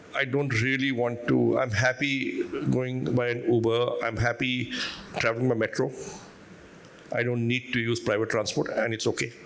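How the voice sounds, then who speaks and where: Over noticeable background noise, a man speaks with monotone, flat intonation at very even loudness. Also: medium pitch for a man, moderate pace. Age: 60s. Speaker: business leader and investor. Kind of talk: panel discussion.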